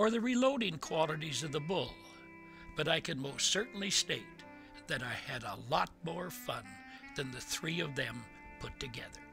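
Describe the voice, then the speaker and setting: Over music in the background, a man with a fairly high pitch talks at a moderate pace, his pitch swinging very widely and his speech broken by long, frequent pauses. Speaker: senior storyteller, grew up on a farm. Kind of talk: personal memoir reading, digital story.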